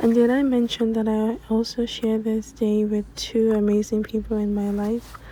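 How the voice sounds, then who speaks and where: Fairly high in pitch yet dark and mellow in tone, a woman speaks in a somewhat breathy, flat monotone. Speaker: lifestyle vlogger. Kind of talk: vlog narration.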